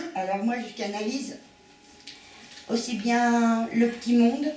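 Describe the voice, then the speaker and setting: Amid noticeable background noise and audible room echo, a woman with a fairly high pitch speaks at a very slow pace. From western France, Nantes area. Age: 50s. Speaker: medium and painter. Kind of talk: public talk. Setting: conference with audience. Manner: hesitant.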